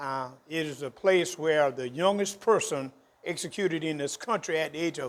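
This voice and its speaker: At a moderate pace, a man with a South Carolina accent talks at a fairly high pitch with ordinary pitch variation. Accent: Southern US (South Carolina). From South Carolina, US South. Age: 70s. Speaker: historian. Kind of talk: interview.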